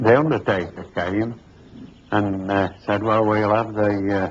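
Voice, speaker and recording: A man's fairly low voice with an East Midlands accent, fairly even intonation and a fairly slow pace. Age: 70s. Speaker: estate builder. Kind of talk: interview testimony.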